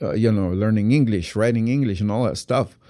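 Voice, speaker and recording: A man with a Guatemalan accent speaks at a fairly low pitch in a dark, mellow tone, with ordinary pitch variation. The recording is very clean and the background silent. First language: Q'anjob'al Mayan. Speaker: actor. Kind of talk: interview. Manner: halting, many repetitions.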